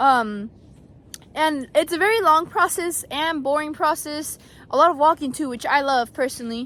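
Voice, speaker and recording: This woman's voice sits high in pitch, with ordinary pitch variation and a moderate pace. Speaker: student intern vlogger. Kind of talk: casual vlog tutorial. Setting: outdoors in orchards.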